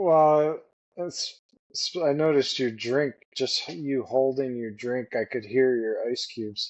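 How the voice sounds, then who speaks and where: Pitch varies in an ordinary way while the delivery moves very slowly. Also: man, medium pitch for a man. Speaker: podcast co-host and editor. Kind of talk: casual chat.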